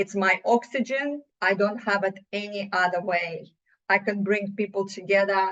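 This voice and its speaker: A woman speaks with a Russian accent at a medium pitch. Her pace is fairly slow and her intonation fairly even. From Russia (USSR). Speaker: business owner, CEO. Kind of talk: podcast interview. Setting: podcast.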